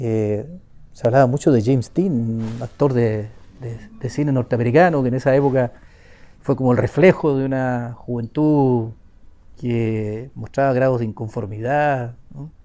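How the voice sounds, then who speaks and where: Speaking at a fairly slow pace, a man with a medium pitch uses a dark, mellow tone and fairly even intonation. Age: 60s. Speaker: victim's younger brother. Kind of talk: testimony.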